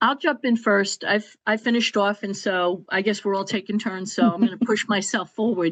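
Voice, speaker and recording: This woman has an ordinary speaking voice at a medium pitch, with fairly even intonation. She talks at a moderate pace with hardly any pauses. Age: 60s. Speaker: podcast panelist. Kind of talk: personal testimony in panel discussion.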